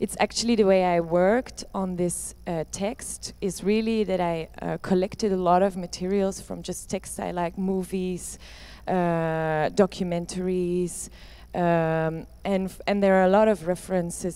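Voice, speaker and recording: With a Dutch accent, a woman speaks at a moderate pace in a fairly low pitch, her dark, mellow tone held to a flat monotone on a very clean recording with a silent background. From Netherlands or Flanders. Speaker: performance artist. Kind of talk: Q&A discussion. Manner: halting.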